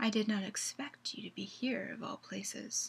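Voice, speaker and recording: In a put-on character voice, a woman speaks at a moderate pace with a fairly high pitch. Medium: read story. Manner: calm, cool, commanding.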